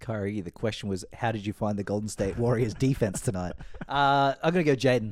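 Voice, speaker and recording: With ordinary pitch variation, the talking runs at a fairly quick clip. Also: man, fairly low pitch for a man. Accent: Australian. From Queensland, Australia. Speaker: basketball fan guest. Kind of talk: casual chat.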